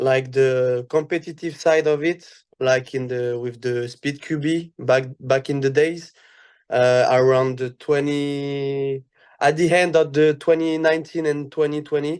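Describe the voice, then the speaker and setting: Over a quiet background, a man with a French accent speaks slowly at a fairly high pitch with fairly even intonation. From France. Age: 20s. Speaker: airsoft athlete. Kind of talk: casual podcast interview. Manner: halting, many fillers.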